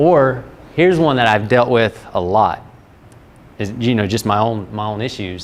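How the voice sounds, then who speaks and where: Speaking at a moderate pace and medium pitch, a man with a Southern US accent shows ordinary pitch variation. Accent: Southern US, noticeable. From North Carolina (Fuquay-Varina, near Raleigh). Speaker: strength coach presenter. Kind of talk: workshop presentation. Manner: casual, conversational with hesitations.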